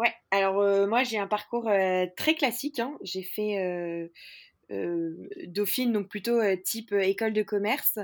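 A woman's medium pitch shows ordinary variation as she talks at a very slow pace. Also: very clean recording, silent background. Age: 20s. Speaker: startup founder. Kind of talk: interview. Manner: hesitant, many fillers.

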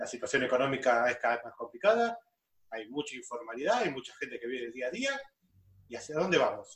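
A man with a Buenos Aires accent at a very fast pace, with big swings in loudness. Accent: Buenos Aires Spanish (rioplatense). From Greater Buenos Aires. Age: 40s. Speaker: business administrator, podcast co-host. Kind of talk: casual chat.

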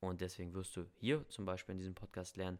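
On a very clean recording with a silent background, a man with a very deep, low pitch speaks at a very fast pace in a monotone, flat intonation. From Germany. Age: 20s. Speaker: language coach and podcast host. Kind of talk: podcast introduction monologue.

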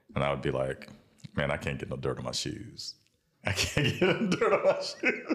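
With a South Carolina accent, a man talks at a fairly quick pace. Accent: US Southern (South Carolina). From South Carolina (Bamberg, Sumter). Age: young. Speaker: entrepreneur and leather craftsman, former lobbyist. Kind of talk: casual interview. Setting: studio.

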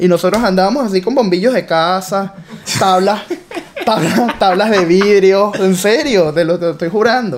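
The speaker sounds animated, with a Venezuelan accent and ordinary pitch variation. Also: man. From Venezuela (Caracas). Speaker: entrepreneur. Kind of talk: interview.

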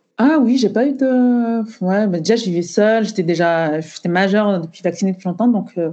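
At a moderate pace and with hardly any pauses, a woman of medium pitch speaks in a dark, mellow tone with ordinary pitch variation against a quiet background. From Cameroon. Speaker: beauty entrepreneur. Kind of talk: casual interview. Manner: halting, many fillers.

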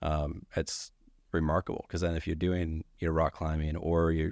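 On a very clean recording with a silent background, a man speaks at a moderate pace with a very deep, low pitch and monotone, flat intonation. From moved around US states, Virginia to Colorado. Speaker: entrepreneur. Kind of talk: casual chat.

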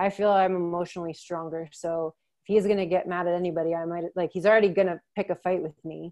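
Here is a woman with a plain, everyday voice, fairly low in pitch. She talks at a moderate pace with fairly even intonation over a quiet background. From US, Maryland. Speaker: childhood abuse survivor sharing her story. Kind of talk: personal testimony in a casual conversation.

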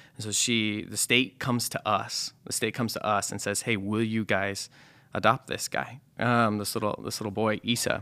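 Recorded very cleanly against a silent background, a man with a Midwestern American accent speaks at a moderate pace in a bright, sharp, fairly low-pitched voice with monotone, flat intonation. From US Midwest, rural southwest Nebraska. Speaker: pastor. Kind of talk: casual chat.

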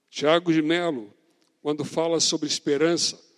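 Recorded dry and close with no echo, a man talks at a fairly slow pace in a fairly high voice. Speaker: pastor. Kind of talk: sermon.

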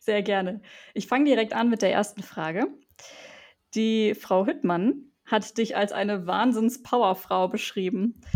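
On a very clean recording with a silent background, a woman uses a normal speaking voice at a fairly high pitch and fairly slow pace, with ordinary pitch variation. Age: 20s. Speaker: student podcast host. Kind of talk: interview.

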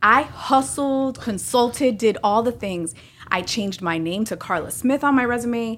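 A woman talks in an ordinary speaking voice with fairly high pitch. Her pace is moderate and her pitch varies in an ordinary way. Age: 40s. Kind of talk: casual chat. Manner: candid, expressive.

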